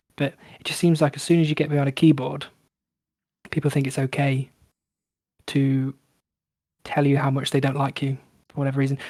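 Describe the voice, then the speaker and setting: A man's fairly high, somewhat breathy voice with a dark, mellow tone, relaxed and calm, monotone and flat at a fairly quick pace, dry and close with no echo. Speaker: gaming video creator. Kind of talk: casual chat. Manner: relaxed, calm.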